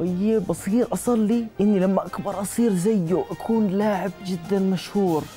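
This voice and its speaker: A man speaks at a fairly slow pace in a high voice, with faint music in the background. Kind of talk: scripted dialogue, storytelling. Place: studio. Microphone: lapel.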